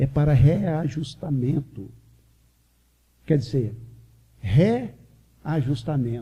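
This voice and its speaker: With lively intonation, a man uses a fairly high pitch and a dark, mellow tone touched by vocal fry. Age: 60s. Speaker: spiritist lecturer. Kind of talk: religious lecture.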